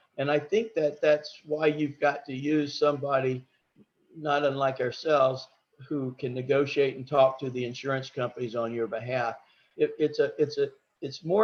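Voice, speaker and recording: A man with a Southern US accent talks at a fairly high pitch. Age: 60s. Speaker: home inspector. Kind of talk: business presentation at a meeting. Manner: halting, with repeated words.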